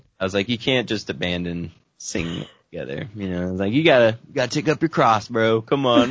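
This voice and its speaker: Here is a man with a plain, everyday voice at a medium pitch. He talks at a fairly quick pace with lively intonation and big swings in loudness. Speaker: musician. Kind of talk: interview. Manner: laughs often.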